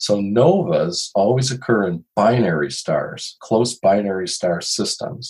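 Using a plain, everyday voice, a man with an American accent speaks at a fairly low pitch and a fairly slow pace. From Chicago. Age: 60s. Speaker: retired photojournalist and astronomy writer. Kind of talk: interview.

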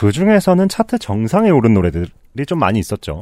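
The recording is very clean, and the background is silent. A man speaks fairly quickly, his pitch swinging very widely. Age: 30s. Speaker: music critic. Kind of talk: casual chat.

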